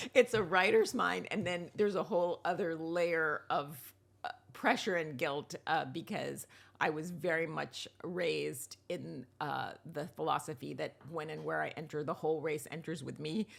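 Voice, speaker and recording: A woman with an American accent speaks at a very deep, low pitch with vocal fry, ordinary pitch variation and a moderate pace. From US, New York. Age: 60s. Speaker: writer and TV producer. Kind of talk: interview conversation.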